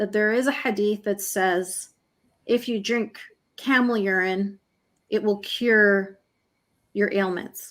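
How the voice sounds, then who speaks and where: Speech with a Canadian accent and ordinary pitch variation. The recording is very clean, with a silent background. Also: woman. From Canada, Egyptian family. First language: Arabic. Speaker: human rights campaigner, author. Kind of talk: interview.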